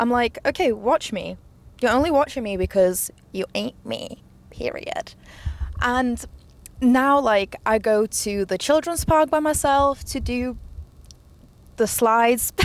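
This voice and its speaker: With a non-native accent, a woman speaks in a high, animated voice with lively intonation, going at a fairly slow pace with long, frequent pauses. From immigrant, grew up partly in an English-speaking country. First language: not English. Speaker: podcaster. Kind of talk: casual chat.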